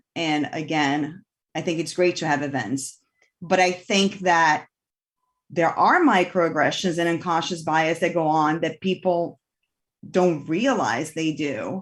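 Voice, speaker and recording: On a very clean recording with a silent background, a woman with a Portuguese accent speaks at a fairly slow pace in a fairly low voice. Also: ordinary pitch variation. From Brazil. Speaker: city commission vice chair. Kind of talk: public meeting discussion.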